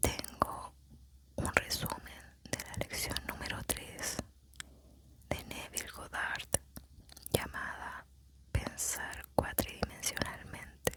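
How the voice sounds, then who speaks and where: Very slow whispering broken by long, frequent pauses, with noticeable background noise. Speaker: ASMR narrator. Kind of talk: ASMR spiritual lecture summary reading. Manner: whispered.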